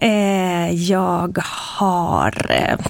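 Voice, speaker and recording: A woman's fairly low voice with fairly even intonation, on a very clean recording with a silent background. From Sweden, Eskilstuna. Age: 40s. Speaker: robotics engineer. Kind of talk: interview.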